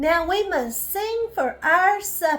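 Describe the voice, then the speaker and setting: Over music in the background, a woman puts on a character voice, raised and projected, with an enthusiastic tone at a fairly slow pace. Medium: read story. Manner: kind, enthusiastic.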